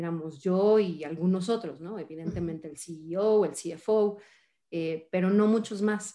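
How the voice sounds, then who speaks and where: With a Mexican accent, a woman speaks fairly slowly in a fairly low pitch, her tone dark and mellow and her pitch variation ordinary. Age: 40s. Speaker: finance executive. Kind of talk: interview.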